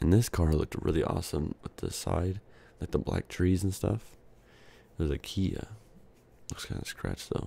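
Soft-spoken and somewhat breathy, a man speaks at a moderate pace in a dark, mellow tone with fairly even intonation. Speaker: ASMR YouTuber. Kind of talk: soft-spoken ASMR video, casual chat. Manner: soft speaking, casual, filler words.

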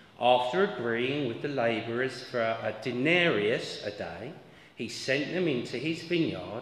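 Someone speaks at a fairly slow pace with audible room echo. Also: man. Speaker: lay reader at a church service. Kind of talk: scripture reading. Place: church. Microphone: camera far.

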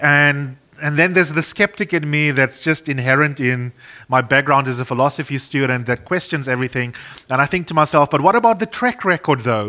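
A man's fairly high, bright and sharp voice at a fairly quick pace, with ordinary pitch variation. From South Africa. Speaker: radio broadcaster and panel moderator; radio broadcaster, panel moderator. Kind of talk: moderated panel discussion. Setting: studio for online webinar.

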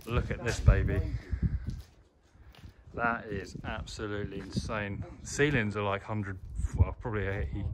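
A man talking at a moderate pace over loud background noise. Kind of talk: casual vlog chat. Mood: awed, excited. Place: hall. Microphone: phone near.

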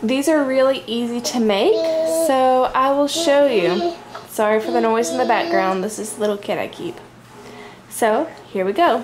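A woman's voice with lively intonation at a moderate pace, long, frequent pauses, and noticeable background noise. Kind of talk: tutorial. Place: home room. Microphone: phone near.

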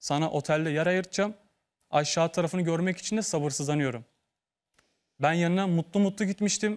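A man with a high pitch speaks with ordinary pitch variation against a quiet background. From Turkey, İzmir; Turkey. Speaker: former model contestant; talk show guest. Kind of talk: TV talk show testimony. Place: studio.

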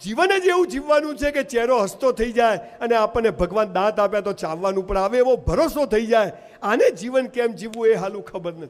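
Lively intonation marks this high-pitched man's speech. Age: 50s. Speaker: motivational speaker. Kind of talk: motivational speech. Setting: stage with audience.

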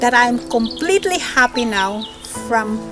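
Behind the woman's voice there is noticeable background noise. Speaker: perfume reviewer. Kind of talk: product review to camera. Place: garden.

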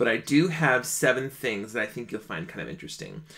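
An animated man with lively intonation over light background noise. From Minnesota, small town outside Minneapolis. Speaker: singer and online show host. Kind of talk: casual livestream monologue. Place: home room.

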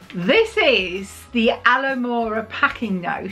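Faint music plays in the background. A woman speaks at a high pitch. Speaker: vlogger. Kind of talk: casual vlog chat. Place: home room. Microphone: phone near.

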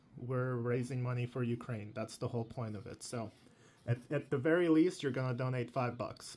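It is an unremarkable speaking voice. The pitch varies in an ordinary way. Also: man. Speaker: YouTube channel host, Hot Wheels collector and reviewer. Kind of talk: casual talk to camera.

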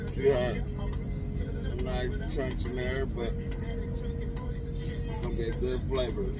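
Clear background music beneath a man's dry, echo-free voice. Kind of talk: casual cooking tutorial. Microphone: phone near.

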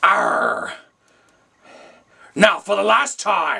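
Putting on a cartoonish character voice, a man speaks at a high pitch with a raspy sound. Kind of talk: puppet skit, all parts voiced.

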